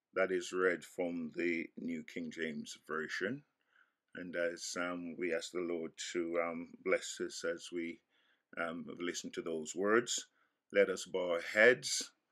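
Over a quiet background, a man with a very deep, low pitch and a bright, sharp tone speaks at a very slow pace. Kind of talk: scripture reading. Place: home room. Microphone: webcam.

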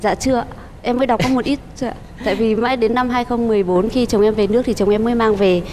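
At a fairly quick pace, a woman talks over light background noise. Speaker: game show contestant. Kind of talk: TV talk show interview. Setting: TV studio with audience. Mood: warm, smiling, slightly shy. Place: studio. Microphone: lapel.

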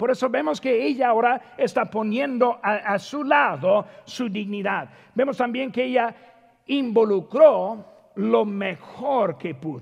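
A man's high-pitched, very slow speech with lively intonation over a quiet background. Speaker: preacher. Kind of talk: sermon. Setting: church. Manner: earnest, exhortative, addressing congregation as brothers. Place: church.

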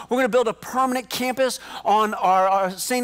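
A man's extremely high-pitched voice against a quiet background. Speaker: pastor. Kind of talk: sermon. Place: stage. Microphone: headset.

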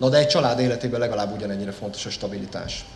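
There's audible room echo and light background noise as a man talks with ordinary pitch variation. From Hungary. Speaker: member of parliament. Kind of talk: formal speech. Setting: company jubilee event with audience. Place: hall. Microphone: podium.

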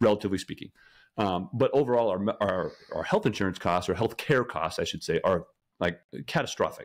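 A man at a fairly quick pace in a very clean recording with a silent background. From Colorado. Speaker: salesperson sharing food journey. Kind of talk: casual podcast interview.

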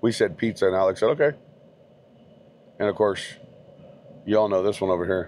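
Against light background noise, a man talks in a fairly low voice, the sound dry with no echo. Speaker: food vlogger. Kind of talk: casual vlog chat. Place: car. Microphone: phone near.

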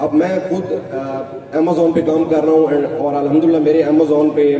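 The speaking runs at a moderate pace with fairly even intonation. Light background noise and audible room echo are present. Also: man. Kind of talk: speech. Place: hall. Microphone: podium.

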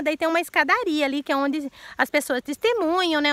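A woman speaks at a high pitch with a bright, sharp tone and a moderate pace. The background is quiet, and the sound is dry with no echo. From Brazil. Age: 40s. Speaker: YouTuber. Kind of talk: casual Q&A vlog; casual vlog chat. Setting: outdoors. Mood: earnest, emotional, sometimes indignant. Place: garden. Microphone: phone near.

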